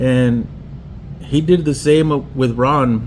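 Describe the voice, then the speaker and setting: There is noticeable background noise and audible room echo as a man speaks with fairly even intonation. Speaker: pinstriper and custom painter. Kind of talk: personal tribute monologue. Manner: halting.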